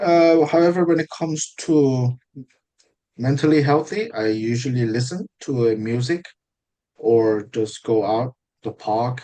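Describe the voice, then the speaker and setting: A man speaks with a Korean accent. His voice has a medium pitch and a dark, mellow tone. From South Korea. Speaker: IELTS mock test candidate. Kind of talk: mock speaking exam interview. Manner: halting, with fillers and self-corrections.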